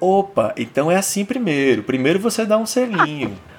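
Noticeable background noise sits behind a man's voice. His pitch is high and swings very widely. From Brazil, Fortaleza (Ceará). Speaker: podcast host. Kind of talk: casual chat. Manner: animated.

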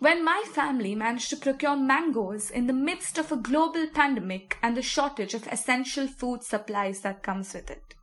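With noticeable background noise behind her, a woman speaks at a high pitch with lively intonation and hardly any pauses. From Mumbai, India. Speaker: writer reading personal essay. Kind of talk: reading aloud.

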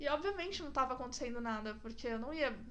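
A woman talks with ordinary pitch variation, and audible room echo can be heard around her. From São Roque, interior of São Paulo state, Brazil. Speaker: podcast host. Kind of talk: casual chat. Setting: in-person recording at home.

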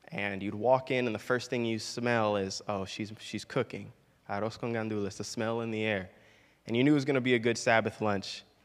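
The speech moves at a fairly quick pace with fairly even intonation, in a very clean recording with a silent background. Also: man, medium pitch for a man. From Florida, Puerto Rican family. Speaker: pastor. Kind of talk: sermon. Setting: church. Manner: halting, many fillers.

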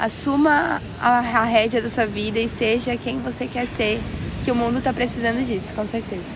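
Over noticeable background noise and audible room echo, a woman with a fairly high pitch talks at a moderate pace in a monotone, flat intonation. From Brazil, São Paulo. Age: 20s. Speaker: entrepreneur. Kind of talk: casual chat. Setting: outdoors on a beach.

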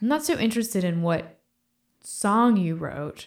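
Intonation is lively and the pace moderate. It is a normal speaking voice. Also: woman. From Virginia, US (Fredericksburg, near DC). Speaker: guitarist and musician. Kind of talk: casual interview chat.

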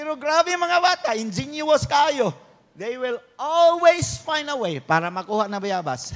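A man with a Philippine accent speaks in an animated tone at a fairly slow pace, his extremely high pitch swinging very widely. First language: Cebuano (speaking Tagalog). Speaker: pastor. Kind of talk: sermon.

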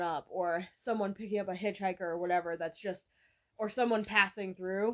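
Speaking at a medium pitch, a woman with an American accent keeps her intonation fairly even. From Massachusetts. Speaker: podcast co-host. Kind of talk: casual chat.

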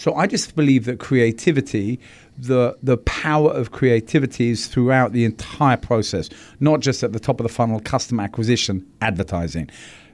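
A man with a British accent talks at a fairly quick pace in a medium pitch with ordinary pitch variation, on a very clean recording with a silent background. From London, England. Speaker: advertising agency executive. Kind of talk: interview.

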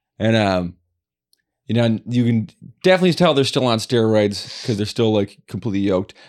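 In a very clean recording with a silent background, a man talks at a fairly quick pace with lively intonation, using an unremarkable speaking voice at medium pitch. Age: 40s. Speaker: podcast co-host. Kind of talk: casual chat.

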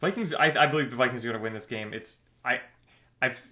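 Loud and bright, a man's voice carries a sharp tone. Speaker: sports podcast co-host. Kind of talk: casual chat. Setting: sharing one mic in same room.

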